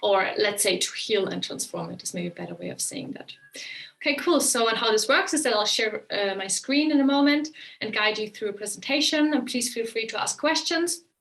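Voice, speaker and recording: With a German accent, a woman talks at a fairly quick pace in a fairly high pitch, her intonation lively. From Germany. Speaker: relationship coach. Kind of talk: webinar presentation. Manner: casual with many fillers.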